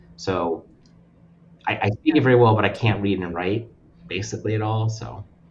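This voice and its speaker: A man's fairly low, somewhat breathy voice with an American accent, ordinary pitch variation, a moderate pace and long, frequent pauses. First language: Russian. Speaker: nonprofit lending representative. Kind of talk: casual chat.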